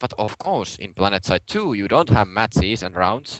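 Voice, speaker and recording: A man with a Finnish accent, fairly low pitch, and a moderate pace. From Finland, Turku. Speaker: podcast co-host, gamer. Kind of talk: casual chat.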